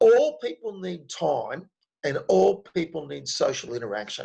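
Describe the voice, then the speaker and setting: With an Australian accent, a man talks at a fairly slow pace, leaving long, frequent pauses. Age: 60s. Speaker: speaker on men's health and stress. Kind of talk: online talk with Q&A.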